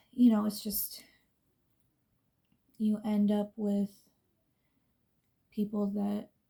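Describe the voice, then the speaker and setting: In a dark, mellow tone that is somewhat breathy, a woman of medium pitch speaks very slowly with monotone, flat intonation and long, frequent pauses. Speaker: beauty vlogger. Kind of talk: casual chat.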